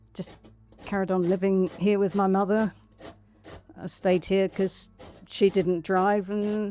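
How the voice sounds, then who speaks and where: A woman with an English accent, medium pitch and a dark, mellow tone, flat and monotone at a fairly slow pace with long, frequent pauses. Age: 70s. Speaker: powerlifter. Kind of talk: interview answer. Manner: casual, hesitant.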